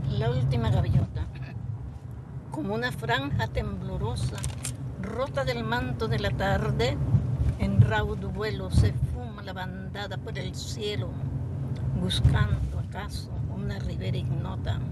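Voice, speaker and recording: Loud background noise fills the clip as a woman speaks at a very slow pace. She leaves long, frequent pauses. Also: dry sound with no echo. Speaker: grandmotherly poetry reciter. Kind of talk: poetry reading. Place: car.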